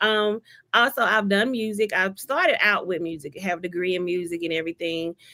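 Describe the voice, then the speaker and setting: With a slight Alabama accent, the voice is bright and sharp in tone, moving at a fairly quick pace with ordinary pitch variation in a dry, close recording with no echo. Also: woman, medium pitch for a woman. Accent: Southern US (Alabama), slight. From Alabama, Selma. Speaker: author and ordained minister. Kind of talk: interview. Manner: casual.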